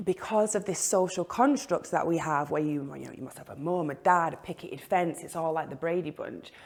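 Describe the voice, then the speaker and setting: With a Mancunian accent, a woman speaks at a moderate pace in a fairly low pitch, her intonation lively and her loudness swinging widely. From northern England, Manchester. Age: 30s. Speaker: interviewee sharing life story. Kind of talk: personal testimony.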